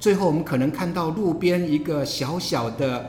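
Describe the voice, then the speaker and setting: Fairly slow male speech amid audible room echo and noticeable background noise. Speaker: professor and podcast host. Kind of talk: interview conversation. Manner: halting, many filler sounds.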